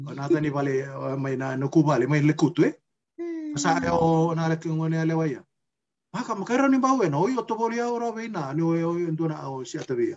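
An ordinary speaking voice moves at a fairly quick pace with lively intonation over light background noise. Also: man, fairly high pitch for a man. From Fiji, Macuata province; Fiji. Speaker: interviewee. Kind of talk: casual chat. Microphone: video call.

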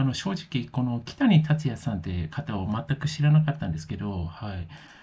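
Somewhat breathy, a man with a dark, mellow tone and medium pitch talks at a moderate pace. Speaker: music commentary youtuber. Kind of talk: casual monologue review. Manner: hesitant, many fillers.

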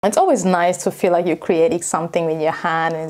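At a moderate pace, a woman talks in a fairly low pitch. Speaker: travel vlogger. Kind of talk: casual vlog monologue. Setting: lives in Tokyo area. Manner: animated, casual. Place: home room.

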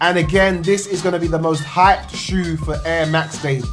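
Over clear background music, a man speaks at a moderate pace with fairly even intonation. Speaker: sneaker vlogger. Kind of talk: casual vlog chat. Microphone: phone near.

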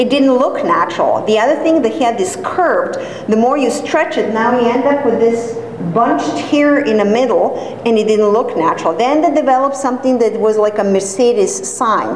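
Lively intonation carries through at a moderate pace. Audible room echo and light background noise are present. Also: woman, high pitch for a woman. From Serbia. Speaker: hair transplant coordinator and course director giving a talk. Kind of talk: lecture. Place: classroom. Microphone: camera far.

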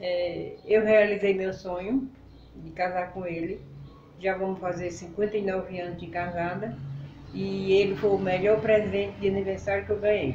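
A woman's voice with fairly even intonation, light background noise and audible room echo. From Northeast Brazil, Pernambuco countryside. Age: 70s. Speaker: elderly local resident; interviewee. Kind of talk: interview. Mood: warm, reminiscing. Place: home room. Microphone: camera far.

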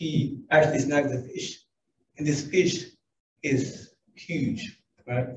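A somewhat breathy man with an American accent, a fairly high pitch and a dark, mellow tone. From US South. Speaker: businessman. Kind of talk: conference talk. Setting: stage with audience.

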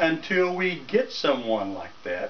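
Over light background noise, a man with a North Carolina accent speaks at a very slow pace with very wide pitch swings. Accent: Southern US (North Carolina). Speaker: political vlogger, ordinary citizen. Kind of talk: political rant to camera. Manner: animated. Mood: indignant, opinionated. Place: home room. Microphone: camera far.

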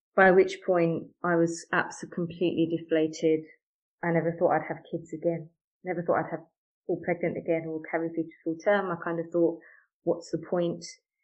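A woman with a British accent, flat and monotone, at a fairly quick pace. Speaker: mother sharing miscarriage story. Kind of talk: interview testimony.

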